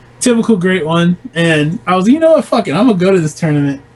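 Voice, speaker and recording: Noticeable background noise surrounds a man who talks at a fairly quick pace with a high pitch. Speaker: competitive fighting game player. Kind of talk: casual chat.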